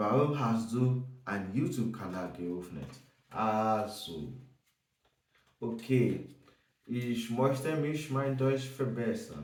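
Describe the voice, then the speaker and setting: A man speaks at a very slow pace with long, frequent pauses, at a medium pitch with ordinary pitch variation. Audible room echo fills the recording. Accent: non-native. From Nigeria. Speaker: German learner vlogger. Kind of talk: casual self-introduction vlog. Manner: halting, many hesitations.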